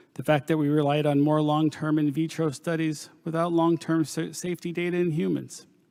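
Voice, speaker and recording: In an American accent, a man with a fairly high pitch and a dark, mellow tone speaks at a moderate pace on a very clean recording with a silent background. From Pennsylvania coal region, US. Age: 50s. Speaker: nurse practitioner giving testimony. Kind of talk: testimony. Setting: panel discussion. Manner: formal.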